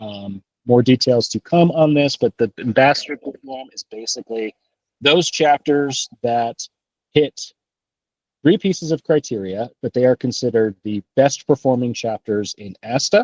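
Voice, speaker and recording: A man's normal speaking voice at medium pitch, moderate pace and ordinary pitch variation, with big swings in loudness in a dry, close sound free of echo. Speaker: chapter board president chairing meeting. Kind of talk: board meeting discussion.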